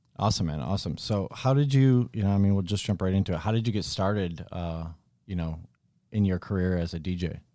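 A man with a General American accent speaks at a very fast pace in a very deep, low pitch with ordinary pitch variation. His tone is dark and mellow, and the recording is very clean with a silent background. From upstate New York. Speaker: podcast host. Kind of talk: casual interview chat.

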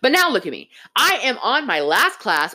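A woman's raised, projected voice, high-pitched with a bright, sharp tone and very wide pitch swings. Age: 20s. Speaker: podcast host. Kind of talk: casual monologue.

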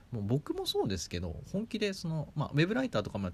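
A man speaks at a very fast pace, his voice somewhat breathy. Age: 30s. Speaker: podcast host, startup member. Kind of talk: solo podcast talk. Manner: many fillers.

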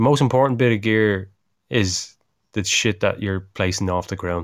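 In an Irish accent, a man speaks at a moderate pace with ordinary pitch variation. The recording is very clean, with a silent background. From Ireland. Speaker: climbing podcast co-host. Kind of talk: casual chat. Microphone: on the better equipment this time.

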